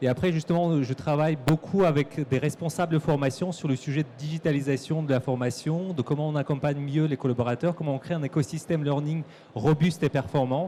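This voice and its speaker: Fairly high in pitch, a man talks at a fairly quick pace with hardly any pauses. His intonation stays fairly even. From Kyrgyzstan. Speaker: corporate learning and development manager. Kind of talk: conference talk. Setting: stage with audience at trade show.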